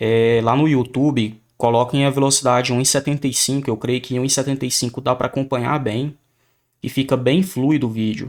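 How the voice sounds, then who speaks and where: At a moderate pace, a man talks with a medium pitch and fairly even intonation in a plain, everyday voice. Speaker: math teacher. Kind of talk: lecture.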